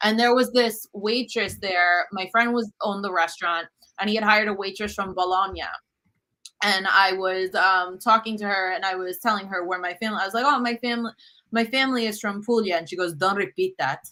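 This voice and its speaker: The speaker has a non-native accent, a bright, sharp tone, fairly even intonation and a fairly quick pace. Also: woman, medium pitch for a woman. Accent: has an accent in English. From US Northeast, Brooklyn New York. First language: Italian. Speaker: cookbook author and cooking show host. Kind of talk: interview conversation.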